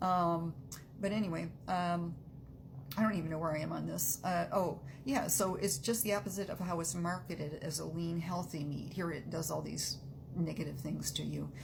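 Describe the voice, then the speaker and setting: Noticeable background noise runs through the clip. There is audible room echo as well. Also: woman, fairly low pitch for a woman, ordinary pitch variation, moderate pace. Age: 60s. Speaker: health opinion vlogger. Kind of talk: casual monologue. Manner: halting, many fillers.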